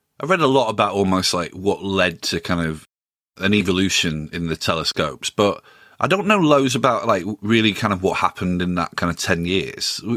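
On a very clean recording with a silent background, a man speaks fairly quickly at a fairly low pitch, his tone bright and sharp and his intonation lively. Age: 40s. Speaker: music podcast host. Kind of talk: casual interview.

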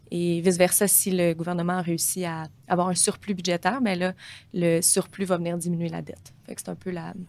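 A woman talks at a fairly quick pace with monotone, flat intonation. Her loudness swings widely. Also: fairly low pitch for a woman. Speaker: portfolio manager. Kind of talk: interview.

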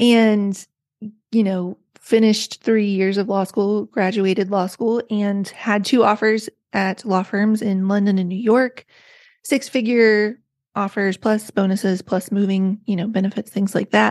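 An American accent with monotone, flat intonation at a fairly slow pace, in a dry, close sound with no echo and a quiet background. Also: woman, medium pitch for a woman. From rural West Virginia. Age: 40s. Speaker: author. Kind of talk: casual interview chat.

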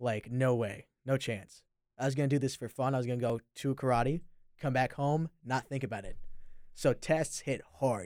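The recording is very clean, with a silent background. A man with a plain, everyday voice speaks with fairly even intonation. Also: medium pitch for a man, moderate pace. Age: young. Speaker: college student. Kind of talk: casual chat.

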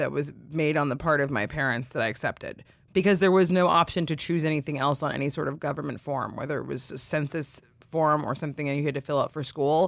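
A woman speaks at a very fast pace in a very deep, low voice. The recording is very clean, with a silent background. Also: fairly even intonation. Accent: West Coast US. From California. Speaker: writer and podcast co-host. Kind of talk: casual interview.

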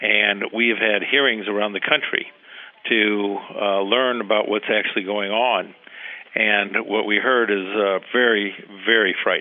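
A man's fairly low, monotone voice at a moderate pace, with long, frequent pauses and noticeable background noise. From Cuba. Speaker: lawyer. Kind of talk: interview discussion.

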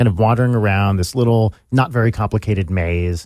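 Talking at a very fast pace, a man with a fairly low voice shows ordinary pitch variation. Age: 40s. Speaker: musician and YouTube personality. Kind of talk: casual chat. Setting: studio.

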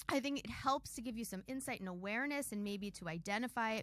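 Here a woman at medium pitch speaks in an animated tone. Her pace is fairly quick, with ordinary pitch variation. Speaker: podcast host. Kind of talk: casual interview.

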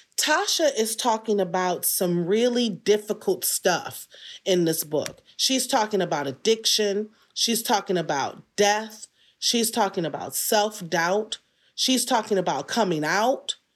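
Recorded very cleanly against a silent background, a woman with an American accent speaks at a fairly slow pace and medium pitch. She has an unremarkable speaking voice with lively intonation. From Detroit, US. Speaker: writer and performer. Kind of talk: interview.

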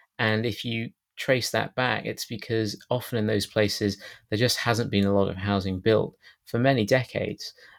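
A man with a British accent talks at a moderate pace in a medium pitch and a monotone, flat intonation, captured in a very clean recording with a silent background. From Britain. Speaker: housing policy campaigner and author. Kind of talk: interview. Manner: hesitant, many filler words.

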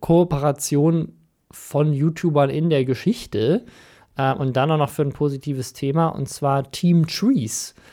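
Fairly high-pitched male voice with a dark, mellow tone at a fairly slow pace, very clean recording with a silent background. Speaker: podcast host. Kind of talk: casual banter podcast.

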